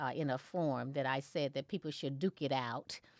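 Heard here is a woman with an American accent, in a dry, close sound with no echo. The recording is very clean, with a silent background. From southeast Missouri. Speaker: school board candidate and educator. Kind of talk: interview.

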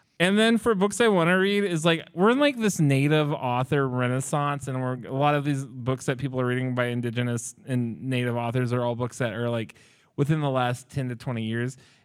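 A man with an American accent speaks in a plain, everyday voice at medium pitch. He talks at a fairly quick pace on a very clean recording with a silent background. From Oklahoma. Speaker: library podcast host. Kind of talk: book discussion before live audience. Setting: public library with live audience.

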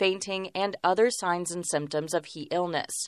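Dry and close with no echo, the sound comes over a quiet background from a woman with a plain, everyday voice. Her pitch is fairly low, her intonation fairly even and her pace moderate. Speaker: radio reporter. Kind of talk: news report.

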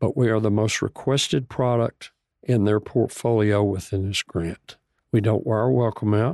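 A Texan accent at a moderate pace, with ordinary pitch variation, a dark, mellow tone, dry, close sound with no echo, and a quiet background. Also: man, fairly low pitch for a man. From Texas, Bonham (northeast of Dallas). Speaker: nonprofit food company CEO. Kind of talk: radio interview.

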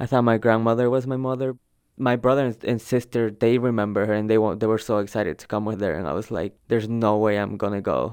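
With a Spanish accent, a man speaks very fast at a medium pitch with fairly even intonation, in a very clean recording with a silent background. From El Salvador. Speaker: undocumented immigrant student. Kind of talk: personal testimony interview.

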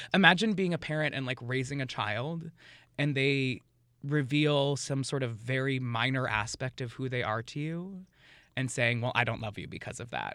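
Recorded very cleanly against a silent background, a man with an American accent talks at a moderate pace and medium pitch, his bright, sharp tone carrying ordinary pitch variation. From New York City. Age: 30s. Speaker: drag performer. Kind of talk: casual interview.

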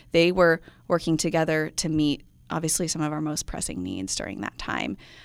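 An unremarkable speaking voice from a woman with a fairly low pitch and an American accent, at a fairly quick pace, in a very clean recording with a silent background. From US Midwest. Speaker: nonprofit project director. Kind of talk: radio interview.

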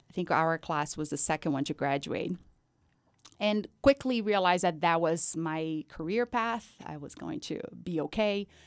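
On a very clean recording with a silent background, a woman speaks with a Brazilian accent at a moderate pace. Her fairly low voice has lively intonation and big swings in loudness. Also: dry, close sound with no echo. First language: Portuguese. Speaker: community outreach coordinator. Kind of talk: interview.

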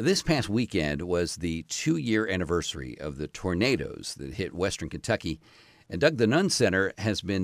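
A man with a very deep, low pitch speaks at a moderate pace. The sound is dry and close with no echo, in a very clean recording with a silent background. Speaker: radio host. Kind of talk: radio host introduction. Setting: radio studio.

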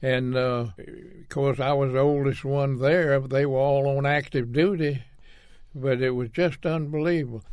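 Against a quiet background, a man with a Southern US accent talks at a moderate pace, his fairly high pitch held in fairly even intonation. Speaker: war veteran. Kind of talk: interview. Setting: studio.

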